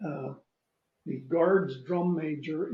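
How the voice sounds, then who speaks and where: There is audible room echo as a man with a dark, mellow tone talks at a high pitch with ordinary pitch variation. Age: 80s+. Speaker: retired army general and toy soldier collector. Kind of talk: casual anecdote in an interview. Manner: halting, with many fillers and restarts.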